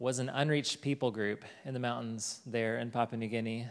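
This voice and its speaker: Speaking in a Southern US accent, a man keeps his voice at a medium pitch. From Arkansas, Fort Smith. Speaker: missionary. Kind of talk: testimony.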